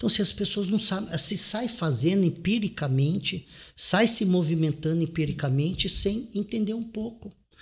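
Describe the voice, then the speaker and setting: A man talks with a high pitch and ordinary pitch variation. The recording is very clean, with a silent background. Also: moderate pace. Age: 40s. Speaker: real estate investor and author. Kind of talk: interview.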